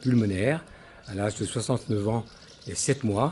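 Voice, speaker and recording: A man speaks with fairly low pitch and fairly even intonation. Noticeable background noise sits behind him. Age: 70s. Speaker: lung transplant patient. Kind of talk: testimony.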